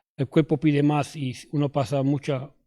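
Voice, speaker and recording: The sound is dry and close, with no echo. A man speaks in a monotone, flat intonation. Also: very clean recording, silent background. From New York. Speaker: former addict giving testimony. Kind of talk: testimony. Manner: halting, many fillers and restarts.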